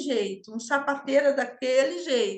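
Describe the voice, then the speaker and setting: Using a raised, projected voice, a woman with a high pitch and a bright, sharp tone speaks at a moderate pace with very wide pitch swings. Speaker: systemic mentor and home harmony teacher. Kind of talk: online class talk.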